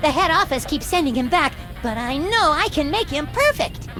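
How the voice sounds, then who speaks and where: A cartoonish character voice speaks in a high pitch at a moderate pace. Clear music is audible in the background. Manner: earnest, naive, eager.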